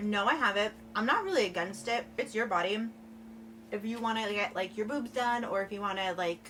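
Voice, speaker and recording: A woman's medium-pitched voice with an American accent, ordinary pitch variation, a fairly quick pace, noticeable background noise. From New Jersey, US. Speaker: lifestyle YouTuber. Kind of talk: casual Q&A vlog while eating. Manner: chatty, filler-heavy.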